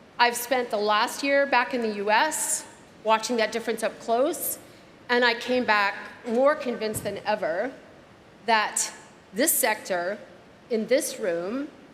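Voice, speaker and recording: Amid noticeable background noise and audible room echo, a woman with an American accent talks at a fairly high pitch, leaving long, frequent pauses. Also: ordinary pitch variation, fairly slow pace. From United States. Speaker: keynote speaker, startup advisor. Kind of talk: keynote speech. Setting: gala dinner stage with audience.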